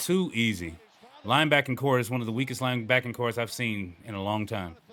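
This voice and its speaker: Someone with an American accent talks at a very fast pace with ordinary pitch variation over noticeable background noise. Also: man. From Chicago. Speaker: sports fan reaction creator. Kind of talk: casual game reaction commentary. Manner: high energy, ranting.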